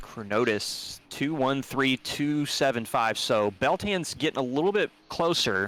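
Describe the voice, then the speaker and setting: Lively intonation from a man at a medium pitch, his loudness very even. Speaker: sim racing commentator. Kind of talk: live commentary. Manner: fast; animated.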